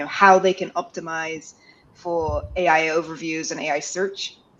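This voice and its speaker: A woman is speaking. Her pace is moderate. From UK/US. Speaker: freelance SEO consultant. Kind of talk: webinar panel discussion.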